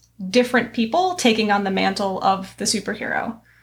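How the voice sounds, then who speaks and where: On a very clean recording with a silent background, a woman uses an ordinary speaking voice with ordinary pitch variation at a moderate pace. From New York. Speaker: history and literature teacher, podcast host. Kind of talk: casual discussion podcast.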